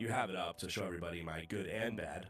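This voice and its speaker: With lively intonation and a fairly quick pace, a man speaks over music in the background. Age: 30s. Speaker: online hockey league commissioner. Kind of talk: casual chat.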